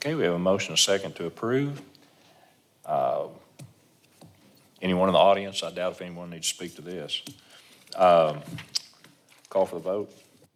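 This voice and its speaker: Pausing long and often, a man speaks at a moderate pace with big swings in loudness over noticeable background noise. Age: 60s. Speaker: mayor chairing council meeting. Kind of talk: chairing a meeting.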